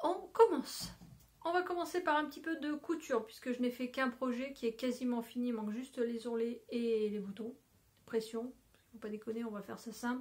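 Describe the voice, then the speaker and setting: Woman with a high pitch and ordinary pitch variation. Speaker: knitting and sewing podcaster. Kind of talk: casual vlog show-and-tell. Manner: trying to speak slowly and clearly.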